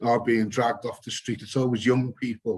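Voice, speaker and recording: In a British accent, a man talks at a medium pitch. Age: 60s. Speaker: photographer and activist. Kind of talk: panel discussion.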